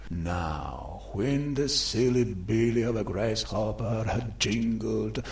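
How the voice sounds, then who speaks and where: The man's voice sits at a fairly low pitch. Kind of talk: dramatic literary reading. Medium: read story. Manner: playful, theatrical, rhythmic.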